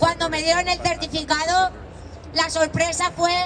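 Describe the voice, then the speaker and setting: The woman's pitch is extremely high, and her intonation is monotone and flat. She speaks at a fairly slow pace against noticeable background noise. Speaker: protest speaker, flood victim's relative. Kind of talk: protest speech. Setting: outdoor rally with crowd. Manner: impassioned.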